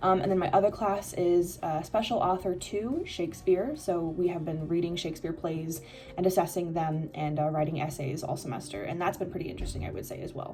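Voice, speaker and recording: In an American accent, a woman talks at a fairly quick pace with a fairly low, dark, mellow, somewhat breathy voice. Her pitch varies in an ordinary way, and room echo can be heard. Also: hardly any pauses. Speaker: exchange student vlogger. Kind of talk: casual vlog. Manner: casual, many fillers.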